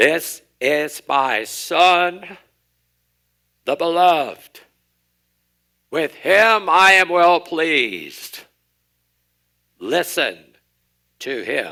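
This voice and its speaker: A man in a put-on character voice, high-pitched, very slow, with long, frequent pauses. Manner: solemn, dramatic, proclaiming.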